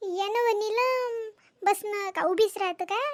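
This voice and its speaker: Using a cartoonish character voice, a woman speaks fairly slowly at an extremely high pitch. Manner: warm, rustic.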